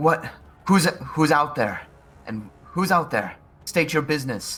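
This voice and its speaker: A man shouting in a put-on character voice, shrill and fairly high-pitched, at a fairly slow pace. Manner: shrieking, yelling.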